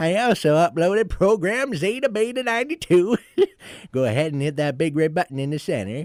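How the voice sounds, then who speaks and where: Putting on a character voice, a man speaks at a high pitch with very wide pitch swings in a dry, close sound with no echo. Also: moderate pace. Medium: audio drama. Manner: precise, slightly testy.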